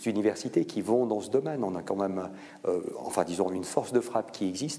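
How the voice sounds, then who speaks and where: At a moderate pace, a man speaks in a normal speaking voice with a fairly low pitch. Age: 50s. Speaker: biotech foundation director and professor. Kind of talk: public lecture with Q&A. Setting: conference hall with audience.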